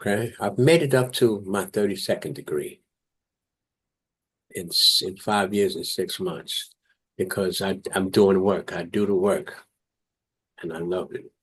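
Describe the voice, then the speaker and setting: The speaker has a New York accent and a fairly slow pace. Long pauses come often. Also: man. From New York, South Bronx. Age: 70s. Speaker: Marine veteran. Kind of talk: interview testimony.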